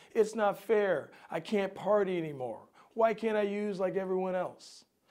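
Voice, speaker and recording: This put-on, whiny character voice sounds female, sits at a medium pitch and moves at a moderate pace. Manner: whiny, self-pitying.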